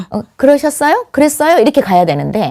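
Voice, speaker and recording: A woman speaks in a dark, mellow tone at a fairly quick pace. The sound is dry and close, with no echo. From South Jeolla, Korea (Muan/Mokpo). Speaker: politician. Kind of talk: talk show interview.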